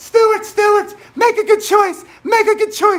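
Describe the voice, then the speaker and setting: A man's put-on character voice at an extremely high pitch and moderate pace. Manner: coaxing, scolding.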